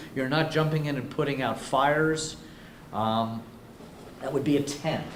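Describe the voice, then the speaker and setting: The speech moves at a moderate pace with lively intonation. Audible room echo and noticeable background noise are present. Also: man. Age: 60s. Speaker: business speaker. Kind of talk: workshop presentation.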